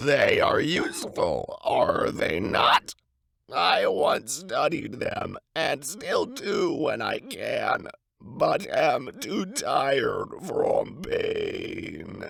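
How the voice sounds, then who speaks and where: A man speaks in a put-on character voice, raspy and extremely high-pitched. His pace is very slow. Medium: solo performance. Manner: cautious, advising.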